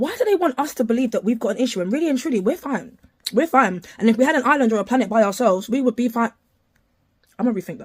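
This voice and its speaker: Speaking very fast, a woman with a fairly high pitch sounds somewhat breathy and uses lively intonation. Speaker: neurodivergent commentator. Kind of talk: opinionated commentary.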